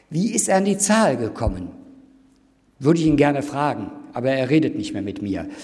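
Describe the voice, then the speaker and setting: A man's fairly high voice moves through very wide pitch swings, broken by long, frequent pauses. Audible room echo surrounds it. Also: fairly quick pace. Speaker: professor. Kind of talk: lecture. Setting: university lecture hall with audience.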